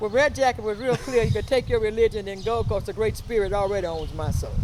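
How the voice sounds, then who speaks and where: Through noticeable background noise, a woman talks at a very fast pace with a fairly high pitch and ordinary pitch variation. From US South. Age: 70s. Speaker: talk show host. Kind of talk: interview.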